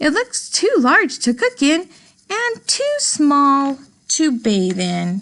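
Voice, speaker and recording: A woman's put-on character voice, pitched high, with very wide pitch swings at a very slow pace. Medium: read story.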